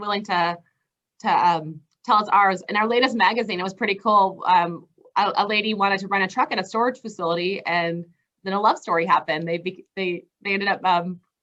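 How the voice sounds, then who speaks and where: Speaking at a fairly quick pace, a woman has a bright, sharp tone, medium pitch and ordinary pitch variation. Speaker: truck rental vendor representative. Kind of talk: interview. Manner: fast; hesitant, many fillers.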